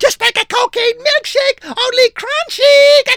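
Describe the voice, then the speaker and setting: A put-on character voice, shrill and squeaky, at an extremely high pitch and a fairly slow pace. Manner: screeching.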